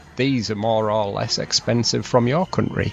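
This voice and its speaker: Over background music, a man with a northern British accent speaks at a medium pitch. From northern England. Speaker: travel vlogger. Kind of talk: travel vlog narration. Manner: fast.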